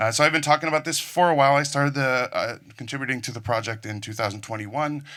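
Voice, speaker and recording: The voice has a bright, sharp tone and an American accent, with ordinary pitch variation on a very clean recording with a silent background. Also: man. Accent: sounds American. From Netherlands. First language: Dutch. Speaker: conference speaker, network engineer. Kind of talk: technical conference talk. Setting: stage with audience.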